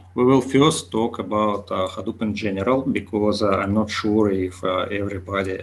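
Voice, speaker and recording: A man with a Russian accent speaks at a fairly low pitch with fairly even intonation. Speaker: conference speaker, big data developer. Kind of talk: lecture. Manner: slow; halting with many fillers.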